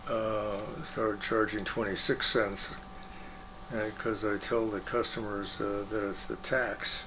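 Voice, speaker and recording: A man with an American accent at a fairly low pitch and fairly slow pace, amid noticeable background noise and audible room echo. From Michigan, Detroit area. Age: 80s+. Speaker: retired physician. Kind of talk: interview. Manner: halting, many fillers.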